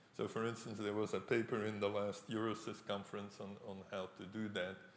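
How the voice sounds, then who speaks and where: Speaking with a non-native accent, a man with a fairly low voice is heard over noticeable background noise and audible room echo. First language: not English. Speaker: professor. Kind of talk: lecture Q&A.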